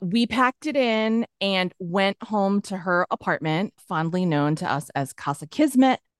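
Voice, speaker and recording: A plain, everyday voice from a woman with an American accent, medium-pitched and fairly slow, with lively intonation and a dry, close sound with no echo against a quiet background. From Massachusetts, near Boston. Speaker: comedy TV writer and producer. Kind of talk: casual chat.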